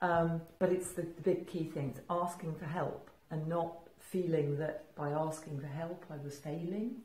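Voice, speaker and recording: A woman's fairly low, somewhat breathy voice at a fairly slow pace, with audible room echo. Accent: English. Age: 60s. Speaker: entrepreneur. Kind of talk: casual chat. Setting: studio. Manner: halting.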